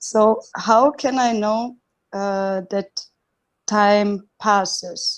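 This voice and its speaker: The speaker has a non-native accent and talks at a very slow pace. The intonation stays fairly even. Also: woman, fairly high pitch for a woman. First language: not English. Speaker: satsang participant asking a question. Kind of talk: reading a written question aloud. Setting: video call. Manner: halting, many fillers.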